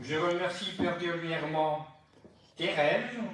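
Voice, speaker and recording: Over noticeable background noise and audible room echo, a man with a fairly high pitch speaks very slowly. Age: 90s. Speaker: birthday celebrant giving a speech. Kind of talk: birthday speech to family gathering.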